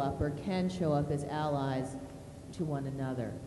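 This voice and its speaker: Noticeable background noise and audible room echo around a woman's moderately paced speech. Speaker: college dean and panel facilitator. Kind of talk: moderated panel discussion. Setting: art gallery with audience. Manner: loud.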